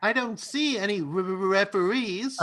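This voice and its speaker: Putting on a character voice, a man speaks at a moderate pace, high in pitch, with ordinary pitch variation. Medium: stage play. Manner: fussy, nervous.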